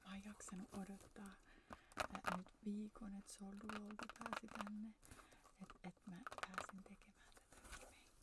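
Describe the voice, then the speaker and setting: At a very slow pace, a woman speaks with monotone, flat intonation and medium pitch. Her loudness swings widely, over noticeable background noise. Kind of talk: casual talk to camera, ASMR.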